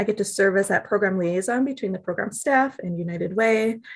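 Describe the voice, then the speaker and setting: A woman talks at a fairly quick pace in an American accent, with an unremarkable speaking voice. Her pitch is medium, with ordinary pitch variation. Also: quiet background. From US Midwest, Milwaukee, Wisconsin. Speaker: nonprofit program manager. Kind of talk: interview.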